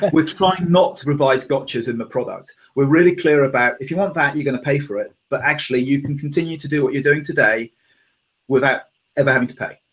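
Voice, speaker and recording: A man with a British accent speaks at a very fast pace and a fairly high pitch, somewhat breathy. His intonation stays fairly even while his loudness swings widely. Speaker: tech company executive. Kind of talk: interview.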